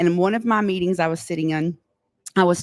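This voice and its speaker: A woman with a West Texas accent and a fairly low voice sounds animated, recorded dry and close with no echo. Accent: West Texas drawl. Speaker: oil and gas tech company representative. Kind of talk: live podcast interview. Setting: live podcast studio at trade show.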